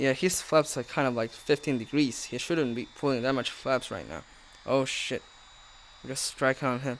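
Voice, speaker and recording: The man has an ordinary speaking voice, medium pitch and fairly even intonation. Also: moderate pace. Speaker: gaming YouTuber. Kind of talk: casual gaming commentary. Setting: home recording with game audio. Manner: casual, chatty, jokey.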